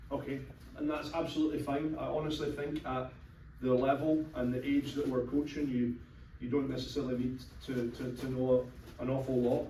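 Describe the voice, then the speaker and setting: With a Scottish accent, a man speaks at medium pitch in a flat monotone and a fairly quick pace, with noticeable background noise and audible room echo. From Scotland. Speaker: youth soccer coach. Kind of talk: informational talk to a meeting. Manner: conversational with many fillers.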